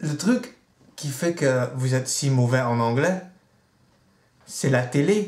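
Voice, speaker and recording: A man speaks at a very slow pace in a fairly high, somewhat breathy voice with lively intonation. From Netherlands. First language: Dutch (speaking French). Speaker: vlogger. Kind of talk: video blog rant.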